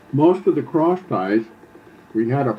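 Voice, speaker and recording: Noticeable background noise sits under a man speaking at a very slow pace. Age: 70s. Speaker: elderly father recounting family history. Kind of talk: oral history interview. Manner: halting, many fillers and restarts.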